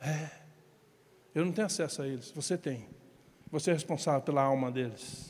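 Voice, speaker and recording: With a Brazilian accent, a man talks at a moderate pace in a fairly high voice with ordinary pitch variation and long, frequent pauses. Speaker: pastor. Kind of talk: sermon.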